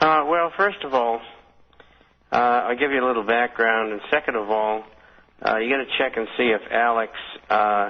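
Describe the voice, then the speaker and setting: A man speaks with a Boston accent at medium pitch. His pace is moderate and his pitch varies in an ordinary way. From Boston area, Somerville, Massachusetts. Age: 70s. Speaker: retired stockbroker and financial newsletter publisher. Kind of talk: radio interview. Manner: hesitant, many fillers.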